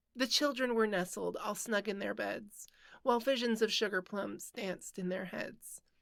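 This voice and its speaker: A woman speaks at a medium pitch and a moderate pace. Vocal fry runs through her voice. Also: ordinary pitch variation. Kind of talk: poetry reading.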